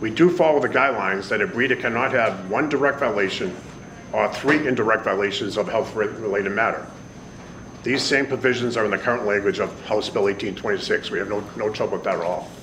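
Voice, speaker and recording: This man talks at a very fast pace with a Boston accent, medium pitch and ordinary pitch variation. Noticeable background noise runs behind him. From Boston, Massachusetts (Jamaica Plain). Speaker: pet store owner. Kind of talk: public hearing testimony. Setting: legislative hearing room. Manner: formal.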